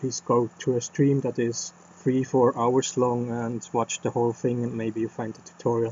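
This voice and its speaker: A man at medium pitch with monotone, flat intonation, a moderate pace, hardly any pauses, big swings in loudness and noticeable background noise. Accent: non-native. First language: not English. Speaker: game developer streamer. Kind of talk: casual channel update. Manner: halting, many fillers.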